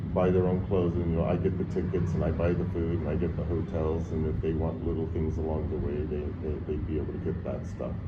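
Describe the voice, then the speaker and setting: Very fast and with hardly any pauses, a man with a very deep, low voice speaks in a monotone, flat delivery amid audible room echo and noticeable background noise. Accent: American. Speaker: traveler. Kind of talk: casual chat.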